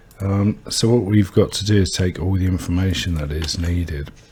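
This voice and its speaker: Over noticeable background noise, a soft-spoken man mumbles at a fairly slow pace in a very deep, low pitch. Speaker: game developer streamer. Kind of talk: coding tutorial livestream. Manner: soft-spoken, mumbling; quiet.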